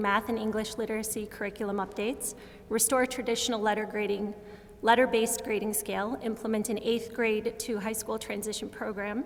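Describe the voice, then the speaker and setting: Amid noticeable background noise, a woman speaks at a fairly quick pace with a fairly high pitch and monotone, flat intonation. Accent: American. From US Midwest, Chicago suburbs. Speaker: school board candidate. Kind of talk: candidate forum speech.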